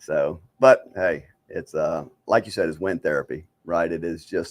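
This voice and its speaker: With an American accent, a man is talking. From East St. Louis, Illinois. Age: 60s. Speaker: motorcyclist and father. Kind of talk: casual chat. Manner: halting, repetitive.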